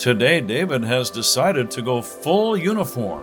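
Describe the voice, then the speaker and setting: Over music in the background, a man with a calm tone speaks at a fairly slow pace, his pitch swinging very widely. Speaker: sports radio announcer. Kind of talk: humorous guided meditation in play-by-play style. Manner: calm, slow.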